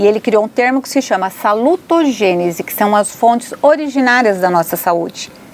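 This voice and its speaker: The speech runs with hardly any pauses and lively intonation over noticeable background noise. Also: woman, fairly high pitch for a woman, moderate pace. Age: 60s. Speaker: psychologist. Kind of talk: interview.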